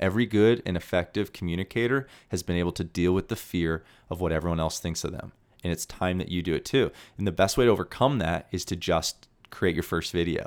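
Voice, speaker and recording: On a very clean recording with a silent background, a man with a very deep, low pitch speaks at a very fast pace in an animated, energetic tone with ordinary pitch variation. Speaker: podcast host. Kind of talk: solo monologue, live, casual and passionate. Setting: live, talking to camera. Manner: animated, loud, energetic.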